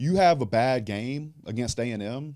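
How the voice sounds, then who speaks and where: A man speaks with a Louisiana accent and a dark, mellow tone. The recording is very clean, with a silent background. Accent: southern US (Louisiana). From US South, south Louisiana. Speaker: businessman and online content creator. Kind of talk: casual interview chat.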